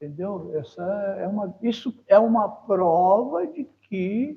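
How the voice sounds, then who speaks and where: His pace is very slow. The man's voice sits high in pitch. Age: 70s. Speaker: environmental manager, retired oil company employee. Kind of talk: interview. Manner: hesitant fillers, repetitions.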